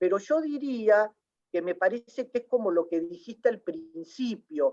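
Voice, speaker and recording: Dry, close sound with no echo on a woman's medium-pitched voice, fairly slow in pace and lively in intonation. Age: 60s. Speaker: literary scholar. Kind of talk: panel discussion. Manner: halting, many fillers.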